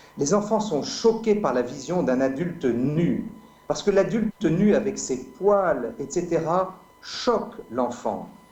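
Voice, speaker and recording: The man's voice is high in pitch, with very wide pitch swings at a very slow pace. Audible room echo and noticeable background noise surround him. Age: 50s. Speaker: medical doctor and speaker. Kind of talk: debate.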